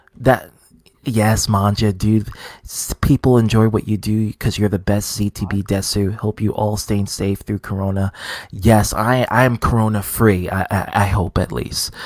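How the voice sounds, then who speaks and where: A man's fairly low, monotone voice with flat intonation and an American accent, at a moderate pace, in a dry, close sound with no echo. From New York. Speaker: gaming streamer. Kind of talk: live stream chat.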